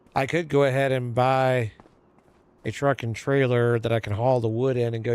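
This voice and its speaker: A man speaks in a monotone with flat intonation on a very clean recording with a silent background. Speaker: gaming streamer. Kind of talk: casual chat. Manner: gets quieter when forgetting audience.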